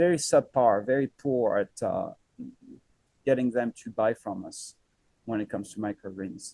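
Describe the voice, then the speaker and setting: A man's medium-pitched voice in a French accent, dark and mellow in tone, with lively intonation and a dry, close sound with no echo. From France. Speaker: microgreens farmer. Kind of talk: podcast interview. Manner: hesitant, many fillers.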